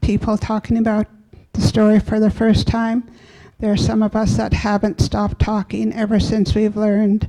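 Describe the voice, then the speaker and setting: Her voice is fairly high-pitched, with a dark, mellow tone. The woman speaks at a moderate pace with monotone, flat intonation. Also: very even loudness. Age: 60s. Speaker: residential school survivor. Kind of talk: audience comment at conference.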